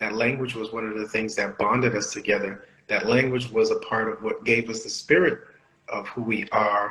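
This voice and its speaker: A speaker with a Haitian accent talks at a moderate pace. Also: man. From Bahamas, Nassau, Haitian family. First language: Haitian Creole. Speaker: podcast co-host. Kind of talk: casual chat.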